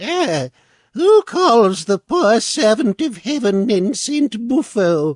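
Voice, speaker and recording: In a put-on character voice, a man speaks at a very slow pace with an extremely high pitch and very wide pitch swings. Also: quiet background. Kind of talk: mock-heroic archaic speech. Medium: read story.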